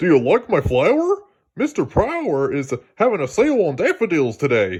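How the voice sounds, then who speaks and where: A man uses a put-on character voice pitched high. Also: moderate pace. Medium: read story. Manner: cheerful, folksy.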